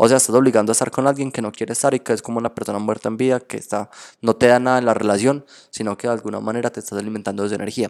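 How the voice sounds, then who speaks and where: This man speaks at a very fast pace in an animated tone, with a medium pitch. The recording is very clean, with a silent background. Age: 20s. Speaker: tarot reader and spiritual therapist. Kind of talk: casual interview chat.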